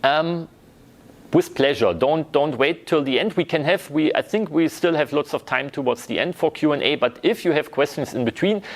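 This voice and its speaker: Using a plain, everyday voice, a man speaks fairly high at a moderate pace with ordinary pitch variation. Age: 30s. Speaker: university lecturer. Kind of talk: lecture.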